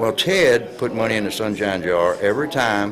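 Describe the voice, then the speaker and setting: Against noticeable background noise and audible room echo, a man with an American accent speaks at a moderate pace in a fairly low pitch. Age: 70s. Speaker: retired wrestler. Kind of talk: interview. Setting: on location at event. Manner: halting.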